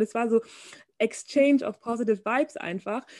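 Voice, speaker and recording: The voice has a dark, mellow tone and ordinary pitch variation, recorded with a dry, close sound with no echo. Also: woman. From Bavaria, Germany. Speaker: fashion model. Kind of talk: casual interview chat.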